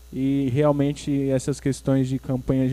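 At a fairly slow pace, a man with a dark, mellow tone speaks at a medium pitch with monotone, flat intonation. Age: 20s. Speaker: nursing student and podcast host. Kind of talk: casual chat. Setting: church.

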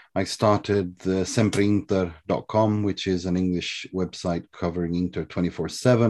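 Against a quiet background, a man with a very deep, low pitch and a dark, mellow tone speaks with fairly even intonation. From Sweden. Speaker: football journalist. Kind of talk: podcast interview.

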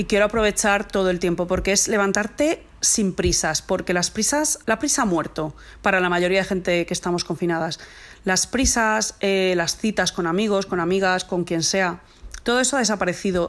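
In an unremarkable speaking voice, a woman talks at medium pitch and a moderate pace, with ordinary pitch variation and very even loudness. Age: 40s. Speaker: mother recording a lockdown diary. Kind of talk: personal monologue.

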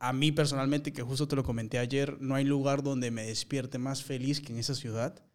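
A man with an unremarkable speaking voice talks at a moderate pace, with a fairly high pitch and fairly even intonation. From Peru. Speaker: actor. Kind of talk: casual interview conversation.

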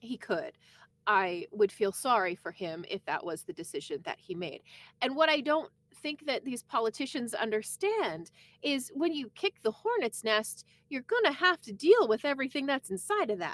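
The voice moves at a moderate pace with very wide pitch swings, recorded dry and close with no echo. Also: woman, high pitch for a woman. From eastern Canada. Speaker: podcast co-host, former radio worker. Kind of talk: casual chat.

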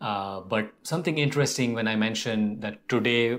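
With music in the background, a man of fairly low pitch speaks at a moderate pace. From India. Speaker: podcast co-host, author and filmmaker. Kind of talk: casual chat.

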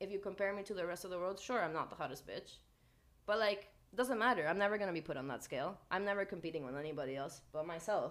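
Loud and at a very fast pace, a woman speaks. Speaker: podcast co-host. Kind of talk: casual chat.

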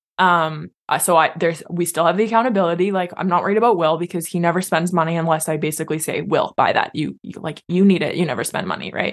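With a Canadian accent, a woman talks at a very fast pace with hardly any pauses, her fairly low voice keeping a fairly even intonation. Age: 20s. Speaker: teacher. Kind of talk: casual chat.

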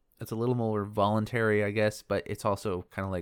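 A man with a fairly low pitch talks at a very fast pace. The recording is very clean with a silent background, and the sound is dry and close with no echo. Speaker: podcast host. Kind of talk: solo lore podcast monologue. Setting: home recording with window open, birds and cars audible. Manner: soft-spoken.

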